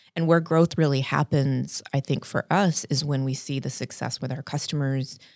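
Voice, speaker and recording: With an American accent and a very deep, low pitch, a woman speaks at a moderate pace with hardly any pauses, the recording very clean with a silent background and a dry, close sound with no echo. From South Texas, San Antonio. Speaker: business founder and CEO. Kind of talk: casual interview.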